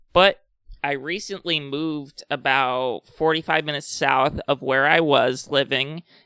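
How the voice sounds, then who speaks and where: With a bright, sharp tone and fairly high pitch, a man speaks at a fairly slow pace with fairly even intonation, in a dry, close sound with no echo and a very clean recording with a silent background. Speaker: video blogger. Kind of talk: personal talk to camera about anxiety. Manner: candid, hesitant.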